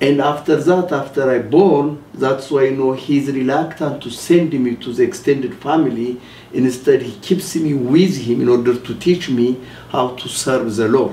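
A man speaks with an Ethiopian accent at a moderate pace and ordinary pitch variation. Light background noise and audible room echo are present. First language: Amharic. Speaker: rabbi and ministry leader. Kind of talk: testimony. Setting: TV studio. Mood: earnest, emotional testimony. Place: studio.

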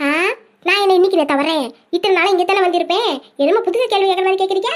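A woman's squeaky, cartoonish character voice at an extremely high pitch, fairly quick in pace and very even in loudness

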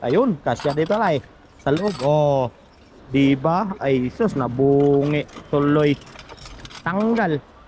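Speaking very slowly with long, frequent pauses, a man uses a fairly high pitch, lively intonation and very even loudness. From Philippines, Quezon province. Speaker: vlogger, overseas worker. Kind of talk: casual vlog narration. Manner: animated.

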